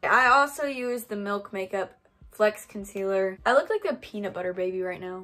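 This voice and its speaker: With faint music in the background, a woman speaks with ordinary pitch variation. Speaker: beauty vlogger. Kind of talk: casual vlog chat. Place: home room. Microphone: phone near.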